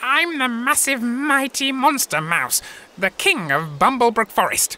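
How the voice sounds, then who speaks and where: This is a cartoonish character voice. It sits at a fairly high pitch. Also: moderate pace. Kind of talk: comic overacting. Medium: puppet show. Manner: pompous, blustering, grandiose.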